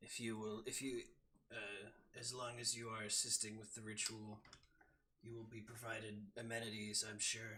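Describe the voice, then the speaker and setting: A man puts on a raspy character voice at medium pitch, keeping a moderate pace. His intonation is monotone and flat, broken by long, frequent pauses. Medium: actual play. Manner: stern, commanding.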